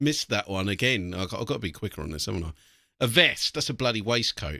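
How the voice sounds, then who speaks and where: With an English accent and a very deep, low pitch, a man talks in a bright, sharp tone with lively intonation, the sound dry and close with no echo on a very clean recording with a silent background. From England. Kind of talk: casual reaction commentary.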